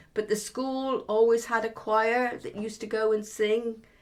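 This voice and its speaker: A woman with a West Midlands accent speaks at a moderate pace. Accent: West Midlands rural English. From Herefordshire, England. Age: 70s. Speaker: oral history interviewee. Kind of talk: oral history interview. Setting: at home. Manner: reflective, with hesitations.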